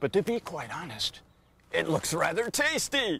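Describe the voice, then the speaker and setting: A high-pitched put-on character voice from a man at a moderate pace. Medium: read story.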